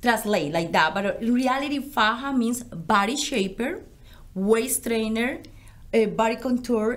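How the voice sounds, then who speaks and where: Heard with audible room echo, a woman with a Colombian accent speaks at a fairly slow pace and a fairly high pitch, with ordinary pitch variation. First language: Spanish. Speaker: business founder. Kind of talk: interview.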